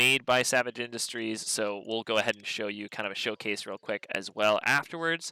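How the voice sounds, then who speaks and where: The tone is bright and sharp, recorded very cleanly against a silent background with a dry, close sound and no echo. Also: man. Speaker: podcast host. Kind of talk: live podcast chat. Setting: live event with crowd. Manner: less loud and energetic than usual.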